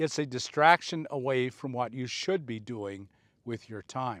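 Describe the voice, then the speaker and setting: A man in an ordinary speaking voice, medium in pitch, at a fairly slow pace, on a very clean recording with a silent background. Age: 60s. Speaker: motivational speaker. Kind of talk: casual monologue. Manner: earnest.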